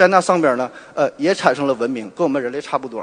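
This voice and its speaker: Pitched fairly high, this man's voice rises and falls with ordinary pitch variation. Nothing else stands out. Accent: strong northeastern Chinese. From Northeast China, Shenyang. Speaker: surgeon and podcaster. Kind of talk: popular science talk. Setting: stage with audience.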